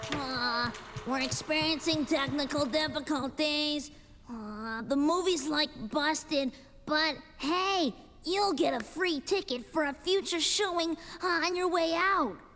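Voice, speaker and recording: A cartoonish character voice, high in pitch. The delivery comes at a fairly slow pace. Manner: hesitant, slacker.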